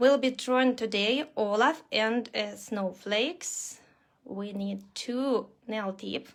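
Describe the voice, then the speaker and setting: A woman's fairly high voice at a very slow pace, with a strong Russian accent. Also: ordinary pitch variation. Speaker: nail art instructor. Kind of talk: live online tutorial. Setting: livestream video class. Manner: halting, many fillers.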